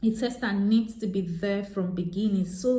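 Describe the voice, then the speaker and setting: A woman's voice carries audible echo from the room. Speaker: software tester and vlogger. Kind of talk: tutorial. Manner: hesitant, many fillers.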